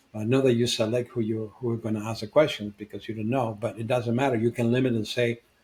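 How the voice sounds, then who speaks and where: A man rushes along at a very fast pace with hardly any pauses, his somewhat breathy voice flat and monotone. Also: medium pitch for a man. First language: not English. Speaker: podcast co-host, founder and coach. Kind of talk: casual discussion.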